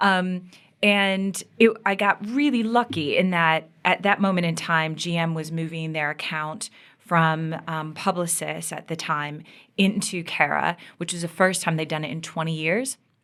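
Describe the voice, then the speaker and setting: A woman speaks at a fairly slow pace in a fairly low pitch, with ordinary pitch variation and a normal speaking voice. The recording is very clean, with a silent background. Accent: American. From US Midwest, Michigan. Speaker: media agency executive. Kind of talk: interview.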